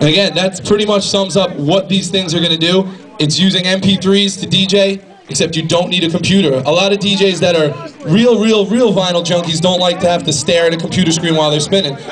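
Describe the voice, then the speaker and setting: With noticeable background noise behind him, a man talks at a very fast pace in a high voice, his intonation fairly even and his loudness very even. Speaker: product specialist. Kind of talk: live product demo. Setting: record store event with audience.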